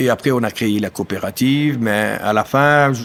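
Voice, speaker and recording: Against noticeable background noise, a man with a German accent speaks with fairly even intonation. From German-speaking eastern Belgium (Amblève). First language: German (speaking French). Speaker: dairy farmer and union activist. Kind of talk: casual interview chat. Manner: hesitant, many fillers.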